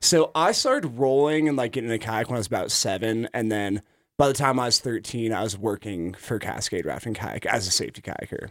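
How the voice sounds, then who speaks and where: With an ordinary speaking voice, a man talks fairly quickly at a medium pitch with ordinary pitch variation and hardly any pauses, on a very clean recording with a silent background. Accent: American. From Idaho. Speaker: kayak club director. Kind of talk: casual radio interview. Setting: radio studio.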